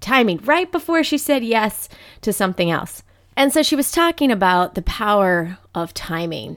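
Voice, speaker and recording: A woman talks with an American accent and lively intonation. The recording is very clean, its background silent. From Ohio, US Midwest. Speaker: podcast host. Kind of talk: casual solo monologue.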